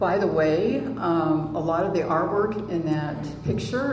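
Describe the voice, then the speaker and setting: A woman talks at a very slow pace with lively intonation. Audible room echo and noticeable background noise surround her voice. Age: 60s. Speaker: author and conference speaker. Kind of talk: conference presentation. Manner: halting, many fillers.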